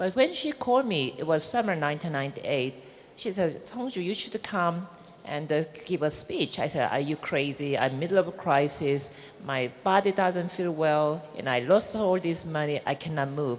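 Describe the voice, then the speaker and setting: At a moderate pace, a woman with a Korean accent uses a very deep, low pitch and lively intonation, with noticeable background noise behind her. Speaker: businesswoman. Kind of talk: panel discussion.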